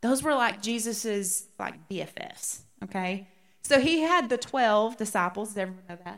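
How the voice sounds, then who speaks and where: Someone with an American accent speaks at a moderate pace with lively intonation. Loudness swings widely, and room echo is audible. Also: woman, fairly high pitch for a woman. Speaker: women's Bible study teacher. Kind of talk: Bible study teaching. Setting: church room with live audience. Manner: animated.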